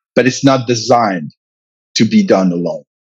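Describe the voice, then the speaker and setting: Somewhat breathy, a man with a French accent speaks with very wide pitch swings. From France. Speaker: comic book writer and publisher. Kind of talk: interview. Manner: halting, many fillers and repetitions.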